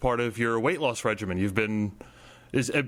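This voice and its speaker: A man with a plain, everyday voice speaks at a fairly quick pace. His medium pitch shows ordinary pitch variation. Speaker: comics podcast host. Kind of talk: interviewer questions.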